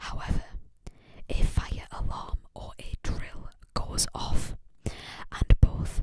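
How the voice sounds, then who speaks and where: A whisper at a very slow pace. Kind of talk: ASMR whispered ramble about a book series. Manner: whispered, soft.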